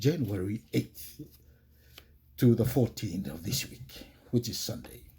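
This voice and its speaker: With a Tongan accent, a man talks very slowly in a medium-pitched, somewhat breathy voice with a dark, mellow tone. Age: 60s. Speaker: religious podcast host. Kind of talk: religious podcast talk.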